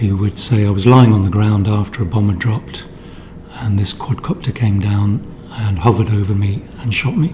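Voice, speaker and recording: Noticeable background noise behind a man's fairly low voice, moderate in pace and ordinary in pitch variation. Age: 60s. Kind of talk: testimony. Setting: parliamentary committee hearing. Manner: halting.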